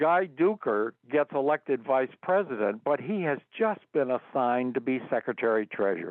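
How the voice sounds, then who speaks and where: A man's medium pitch with an American accent, very wide pitch swings and a moderate pace. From Endicott, New York. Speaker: emeritus music professor, band conductor. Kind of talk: interview answer.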